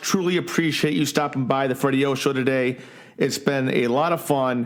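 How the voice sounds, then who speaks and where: With an unremarkable speaking voice, a man talks at a moderate pace, pitched medium with ordinary pitch variation. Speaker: podcast host. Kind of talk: podcast interview.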